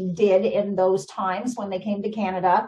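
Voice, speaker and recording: Somewhat breathy, a woman speaks at a fairly slow pace. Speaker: guest. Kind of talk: interview answer. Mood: enthusiastic storytelling. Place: home room. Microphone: video call.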